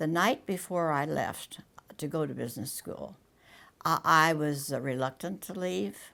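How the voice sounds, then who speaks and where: A woman with an American accent talks at a moderate pace, her very deep, low pitch carrying vocal fry. Her tone is bright and sharp, and her intonation is lively. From US small town. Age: 90s. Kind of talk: interview testimony. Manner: halting.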